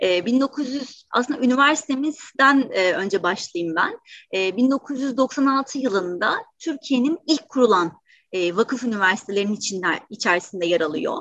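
The speech moves at a fairly slow pace. Its pitch swings very widely up and down. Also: woman, high pitch for a woman. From Turkey, Istanbul. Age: 30s. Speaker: university career center director. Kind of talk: webinar interview. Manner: hesitant, frequent fillers.

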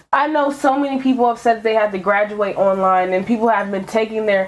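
A plain, everyday voice from a woman, fairly high in pitch, with ordinary pitch variation at a moderate pace. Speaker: podcast host. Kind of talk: casual chat.

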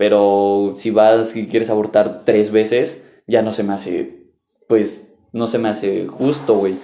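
A man in a Mexican accent, dark and mellow in tone, fairly slow in pace, with audible room echo. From Mexico. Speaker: podcast host. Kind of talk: casual chat.

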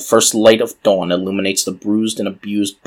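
What we hear is a natural reading voice.

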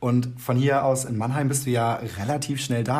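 There is audible room echo as a man speaks, somewhat breathy, at a moderate pace. His medium pitch stays monotone and flat in intonation. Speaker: podcast co-host. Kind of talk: casual chat. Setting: video call.

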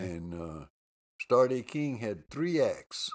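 On a very clean recording with a silent background, a man speaks at a very slow pace. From Texas, Lubbock. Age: 80s+. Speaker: jazz and blues musician. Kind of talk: interview storytelling. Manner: animated.

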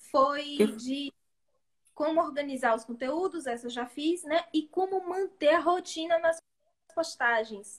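A high-pitched woman's voice at a fairly slow pace. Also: ordinary pitch variation. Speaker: beauty therapist and podcast co-host. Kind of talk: casual chat. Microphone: too quiet, far from mic, bad internet.

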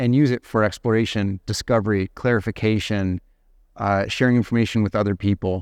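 With an American accent and a normal speaking voice, a man talks at a fairly low pitch with fairly even intonation, the sound dry and close with no echo over a quiet background. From United States. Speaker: agile management consultant. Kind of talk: interview. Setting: studio.

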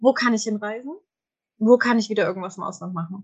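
A somewhat breathy woman's voice, fairly high in pitch with ordinary variation, at a very fast pace. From Germany, small village. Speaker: human design coach. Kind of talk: casual chat.

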